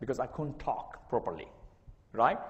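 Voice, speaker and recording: The voice belongs to a man. Some echo from the room can be heard. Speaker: university lecturer. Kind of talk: lecture. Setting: classroom with document camera. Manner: sometimes garbled speech.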